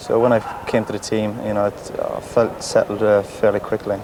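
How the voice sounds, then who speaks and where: A man in a Cork accent with monotone, flat intonation over noticeable background noise. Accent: Cork Irish. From Cork, Ireland. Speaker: professional footballer. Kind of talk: TV interview answer.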